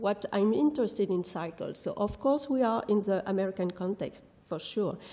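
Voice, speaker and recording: Noticeable background noise behind a woman's fairly high-pitched speech. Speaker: architectural historian, professor. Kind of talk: lecture; audience Q&A. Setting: conference hall with audience.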